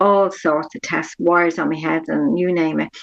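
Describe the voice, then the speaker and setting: The voice, with an Irish accent, sounds dry and close with no echo. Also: woman. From Ireland, Dublin. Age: 60s. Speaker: patient sharing her experience. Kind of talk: interview testimony.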